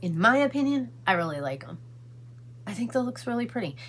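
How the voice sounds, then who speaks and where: Very deep and low for a woman, her voice races at a very fast pace with very wide pitch swings over noticeable background noise. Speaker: beauty vlogger. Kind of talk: casual makeup tutorial vlog; casual vlog chat. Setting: in a car. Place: home room. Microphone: phone near.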